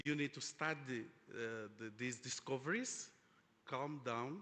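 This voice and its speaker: This man speaks at a medium pitch with a bright, sharp tone. His intonation stays fairly even. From Angola. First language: Portuguese. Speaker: oil industry executive, panelist. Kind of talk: conference panel discussion. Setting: conference stage with audience. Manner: halting, many fillers.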